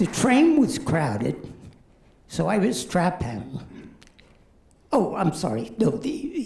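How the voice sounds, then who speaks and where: A man's high pitch with very wide pitch swings, at a very slow pace with long, frequent pauses. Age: 70s. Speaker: amateur stand-up comedian. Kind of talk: stand-up.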